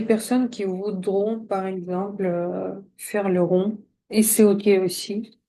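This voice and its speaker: A soft-spoken woman with a dark, mellow tone, medium pitch, fairly even intonation and a very slow pace. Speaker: coach and drawing trainer. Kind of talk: tutorial.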